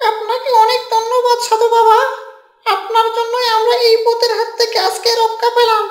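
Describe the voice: A cartoonish character voice, female-sounding, holds an extremely high pitch with monotone, flat intonation at a moderate pace and a slight echo.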